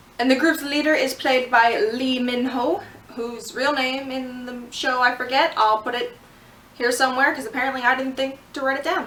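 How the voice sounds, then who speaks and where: Noticeable background noise runs under the speech. The pace is moderate and the intonation fairly even. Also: woman, high pitch for a woman. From Canada. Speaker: vlogger. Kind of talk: casual vlog review. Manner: casual, filler-heavy.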